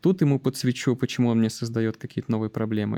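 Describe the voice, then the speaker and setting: This man's voice has a dark, mellow tone. The sound is dry and close, with no echo. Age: 30s. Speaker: IT delivery manager. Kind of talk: interview podcast.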